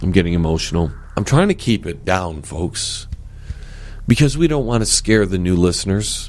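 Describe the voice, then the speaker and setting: Over noticeable background noise, a man speaks at a moderate pace and fairly low pitch with lively intonation. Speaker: show host.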